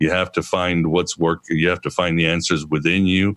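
With vocal fry, a man speaks at a very deep, low pitch and a moderate pace. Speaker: podcast host. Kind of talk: interview. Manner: eloquent, articulate.

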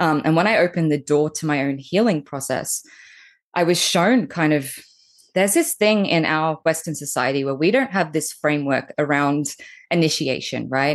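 A woman with a very deep, low pitch talks against a quiet background. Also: ordinary pitch variation, moderate pace. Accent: Australian. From Australia. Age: 30s. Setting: video call.

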